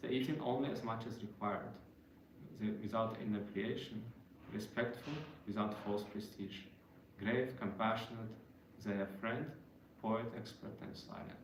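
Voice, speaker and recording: Over noticeable background noise and audible room echo, a man with a non-native accent speaks at a moderate pace. His intonation is fairly even, and he takes long, frequent pauses. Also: medium pitch for a man. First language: not English. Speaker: devotional speaker. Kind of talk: religious talk. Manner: halting.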